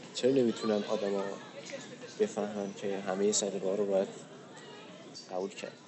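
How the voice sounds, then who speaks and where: In a room with audible echo and crowd noise behind him, a man with a fairly low pitch speaks fairly quickly in a flat monotone, leaving long, frequent pauses. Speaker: podcast co-host. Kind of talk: casual chat. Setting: outdoors on a park bench.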